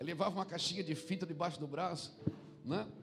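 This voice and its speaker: A man with a high pitch speaks at a fairly quick pace with fairly even intonation, and audible room echo surrounds his voice. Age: 40s. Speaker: pastor. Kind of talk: sermon.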